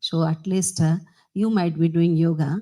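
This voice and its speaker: Her voice is somewhat breathy, fairly low in pitch for a woman, and dark and mellow in tone. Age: 60s. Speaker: politician. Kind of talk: ceremonial speech. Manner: halting.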